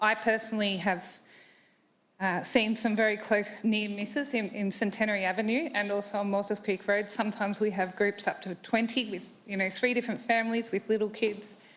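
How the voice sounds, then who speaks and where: A woman at a fairly quick pace, in a fairly high pitch with monotone, flat intonation. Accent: Australian. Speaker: resident asking a question at a council meeting. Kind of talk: public question at council meeting. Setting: council chamber with public gallery. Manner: loud.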